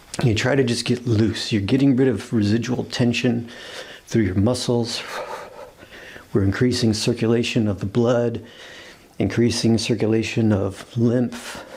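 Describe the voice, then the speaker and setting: A man speaks fairly slowly in a flat, monotone voice at medium pitch, keeping a very even loudness and taking long, frequent pauses amid noticeable background noise. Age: middle-aged. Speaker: yoga and qigong instructor. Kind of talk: guided exercise class. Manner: casual, conversational.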